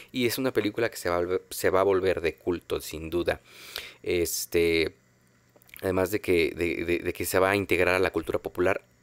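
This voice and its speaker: A man with a Mexican accent at a moderate pace, dry with no echo. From Mexico. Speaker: film podcast host. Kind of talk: casual monologue. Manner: halting, many fillers. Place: home room. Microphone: studio mic.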